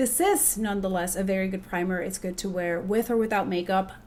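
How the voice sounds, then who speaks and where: Noticeable background noise accompanies a woman whose speech moves at a fairly quick pace. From Puerto Rico. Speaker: makeup artist. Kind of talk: casual beauty review to camera.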